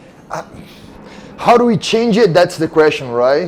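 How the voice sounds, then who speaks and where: A man at a moderate pace with a Brazilian Portuguese accent, amid noticeable background noise. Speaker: mixed martial arts fighter. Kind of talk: casual interview chat. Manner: halting, repeats words.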